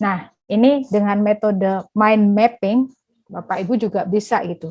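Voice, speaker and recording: A woman speaks at a fairly slow pace with medium pitch. Her intonation stays fairly even. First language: Javanese (speaking Indonesian). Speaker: workshop speaker on academic writing. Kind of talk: online workshop presentation. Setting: online workshop. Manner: hesitant, frequent fillers.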